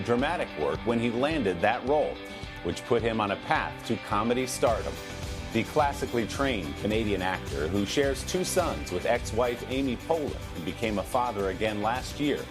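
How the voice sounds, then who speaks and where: Music plays in the background as a man with lively intonation speaks at a moderate pace and a medium pitch. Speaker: TV interviewer. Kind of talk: TV news feature narration.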